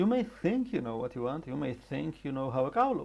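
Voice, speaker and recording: In an Israeli accent, a man speaks with a dark, mellow tone. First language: Hebrew. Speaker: animator and character designer. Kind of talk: tutorial.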